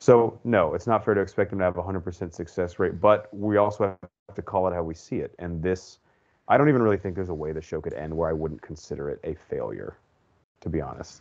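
A man's very deep, low voice at a very fast pace, ordinary pitch variation and big swings in loudness. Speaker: podcast host. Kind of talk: casual chat. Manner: animated, frustrated.

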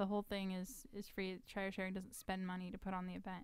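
A woman with an American accent has an unremarkable speaking voice at medium pitch, with fairly even intonation, recorded with a dry sound with no echo against a quiet background. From Texas. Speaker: charity founder and political candidate; candidate. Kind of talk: casual chat. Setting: studio. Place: studio. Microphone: studio mic.

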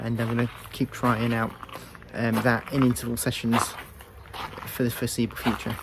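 A moderate pace, with noticeable background noise and a dry sound with no echo. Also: man. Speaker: runner vlogger. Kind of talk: casual vlog chat. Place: garden. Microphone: earbuds.

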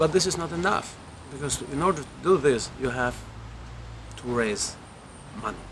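Fairly quick speech in an Albanian accent, lively in intonation, over light background noise. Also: man. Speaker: film director. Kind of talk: interview. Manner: halting, with repetitions. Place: garden.

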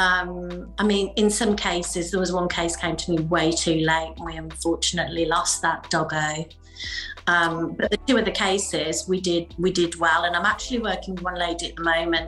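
A woman's voice at a moderate pace over faint background music. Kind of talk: interview answer. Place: home room.

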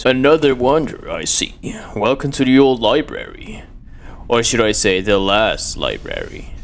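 Clear background noise sits behind a man putting on a character voice. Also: moderate pace.

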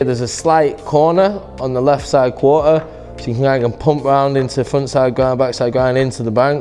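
Over faint background music, a man talks with fairly even intonation. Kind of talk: interview answer. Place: hall.

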